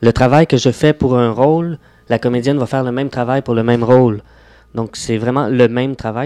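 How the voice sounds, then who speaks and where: A man talks at a moderate pace with a medium pitch and fairly even intonation. His tone is dark and mellow. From Quebec, Laurentians (Mont-Tremblant area). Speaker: actor. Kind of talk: radio interview.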